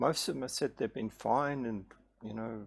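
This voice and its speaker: Marked by vocal fry, a man at a medium pitch speaks with ordinary pitch variation on a very clean recording with a silent background. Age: 60s. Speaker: health vlogger sharing patient experience. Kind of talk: casual explanatory monologue. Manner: hesitant, many fillers and restarts.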